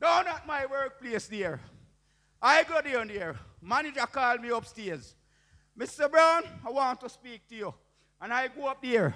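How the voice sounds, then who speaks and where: Raising and projecting his voice, a man speaks at an extremely high pitch with a bright, sharp tone, lively intonation, big swings in loudness, a fairly slow pace and long, frequent pauses over a quiet background. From Jamaica. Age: 60s. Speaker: preacher. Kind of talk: testimony. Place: church. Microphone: handheld.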